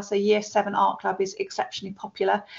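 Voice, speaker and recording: This speaker talks at a fairly quick pace. The voice carries a British accent. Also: woman. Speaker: school staff member. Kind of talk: webinar presentation. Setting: online webinar. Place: office. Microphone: webcam.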